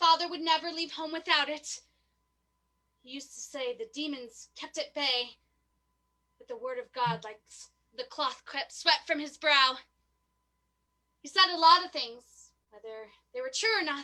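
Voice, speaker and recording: This is a put-on character voice with a high pitch. It moves at a moderate pace with long, frequent pauses. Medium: audio drama. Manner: repetitive, fragmented.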